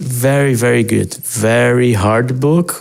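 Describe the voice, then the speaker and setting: Speaking with a Portuguese accent, a man uses a medium pitch with ordinary pitch variation. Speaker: digital artist. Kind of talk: casual walkthrough narration. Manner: halting, with repetitions and fillers.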